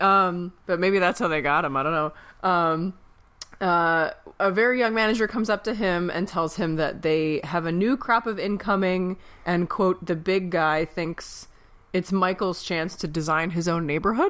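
The speech goes at a moderate pace. Its pitch variation is ordinary. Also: woman, medium pitch for a woman. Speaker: podcast host. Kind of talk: casual chat. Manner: animated.

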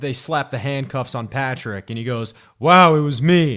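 The speaker has an ordinary speaking voice, talking at a moderate pace with ordinary pitch variation on a very clean recording with a silent background. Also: man. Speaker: podcast co-host. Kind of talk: comedic sports banter, mock-announcer intro.

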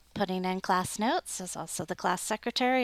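Dry and close with no echo, a woman's medium-pitched voice comes through with ordinary pitch variation. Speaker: podcast host and class secretary. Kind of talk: casual interview.

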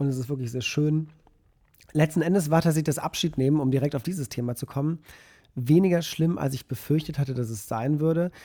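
With ordinary pitch variation, the speaker moves along fairly quickly. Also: man, fairly high pitch for a man. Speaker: podcast co-host, photographer. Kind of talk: casual chat.

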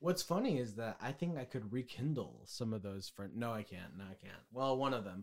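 An unremarkable speaking voice moves at a moderate pace with lively intonation. It hardly pauses, and its loudness swings widely. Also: man, medium pitch for a man. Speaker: podcast co-host. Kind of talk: casual chat.

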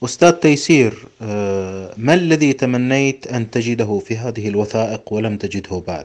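At a fairly slow pace, a man talks in a normal speaking voice with medium pitch and lively intonation. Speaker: podcast host. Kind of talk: interview. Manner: formal.

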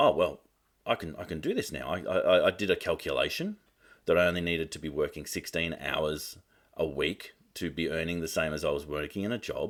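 A man speaks with an Australian accent on a very clean recording with a silent background. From Australia (Melbourne). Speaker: marketing coach and business advisor. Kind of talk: casual interview chat.

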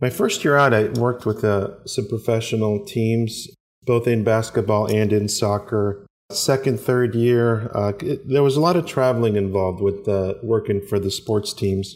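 A plain, everyday voice from a man, medium in pitch, with very even loudness, ordinary pitch variation and a moderate pace. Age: 40s. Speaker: former podiatrist turned coffee and cigar entrepreneur. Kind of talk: interview.

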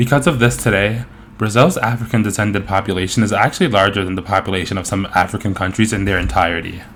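Noticeable background noise sits behind a man with an American accent and a fairly low pitch who talks at a very fast pace. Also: ordinary pitch variation. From US, New York. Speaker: podcast host. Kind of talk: interview.

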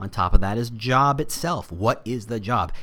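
Going at a fairly slow pace, a man speaks in an unremarkable speaking voice. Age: 40s. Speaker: podcast host, recruitment marketer. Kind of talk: solo podcast monologue. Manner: casual, with frequent fillers.

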